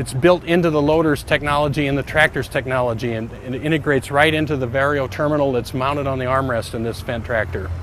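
A man talking very fast with hardly any pauses, ordinary pitch variation, a dry sound with no echo, and light background noise. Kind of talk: product presentation. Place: open country.

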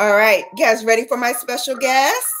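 A woman talks at a moderate pace while music plays in the background. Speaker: livestream host. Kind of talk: casual vlog chat. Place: home room. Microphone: webcam.

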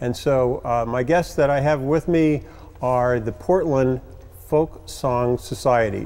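A man speaks in a dark, mellow tone. He goes at a fairly slow pace with ordinary pitch variation. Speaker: TV show co-host. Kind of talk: show host introduction. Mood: warm, reflective. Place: studio. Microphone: lapel.

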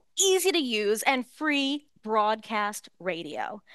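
Against a quiet background, a woman with an American accent swings her pitch very widely, the sound dry with no echo. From United States. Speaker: market researcher. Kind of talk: conference presentation. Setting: stage with audience. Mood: playful, light humor. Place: hall. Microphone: headset.

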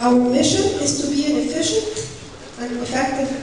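Speaking at a fairly quick pace, a woman's voice carries strong room echo. Light background noise is also present. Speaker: council executive director. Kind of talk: conference presentation. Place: hall.

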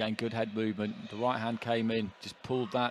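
The man's voice sits at a medium pitch. He speaks at a moderate pace in a monotone, flat intonation. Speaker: boxing commentator. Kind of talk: live ringside boxing commentary with expert analysis. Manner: flowing, run-on analytical delivery between punches; measured, knowledgeable, calmly confident.

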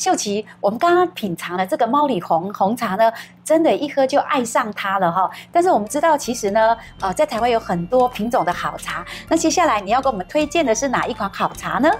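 Faint music plays in the background as a woman talks at a fairly quick pace. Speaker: talk show host. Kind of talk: interview host chat. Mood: cheerful, warm. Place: studio. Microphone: lapel.

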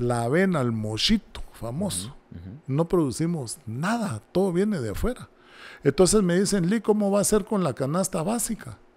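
The speaker moves at a moderate pace, with very wide pitch swings. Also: man, high pitch for a man. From Guatemala. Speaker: presidential candidate; candidate. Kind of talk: interview. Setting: studio. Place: studio. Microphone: studio mic.

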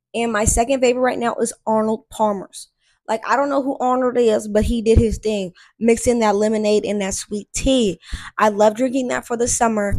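A woman keeps her intonation fairly even at a moderate pace. Everything behind her is quiet. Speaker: vlogger. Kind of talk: casual faith vlog chat. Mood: relaxed, chatty. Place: home room. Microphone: handheld.

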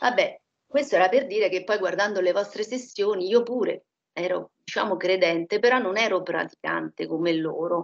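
A woman keeps a moderate pace and ordinary pitch variation, heard over a quiet background. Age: 60s. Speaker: hypnosis session client. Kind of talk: personal testimony. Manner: halting. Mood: subdued, reflective. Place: home room. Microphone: echo from computer volume; headset.

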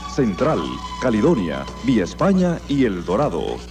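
Clear music sounds in the background while a man is talking. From Panama. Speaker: radio announcer. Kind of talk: radio commercial read. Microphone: old recording.

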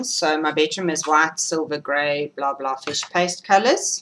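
A woman's very deep, low voice with a bright, sharp tone, ordinary pitch variation and a moderate pace, over light background noise. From Britain. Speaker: knitting podcaster. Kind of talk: casual vlog monologue. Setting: home recording. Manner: animated. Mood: chatty, humorous. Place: home room. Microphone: webcam.

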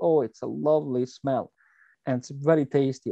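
A man speaks at a moderate pace with ordinary pitch variation and a dark, mellow tone, in a dry, close sound with no echo.

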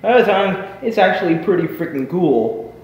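A man speaks at a moderate pace with a high pitch. Audible room echo surrounds his voice. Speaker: vlogger. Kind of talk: casual vlog chat. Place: garage. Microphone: webcam.

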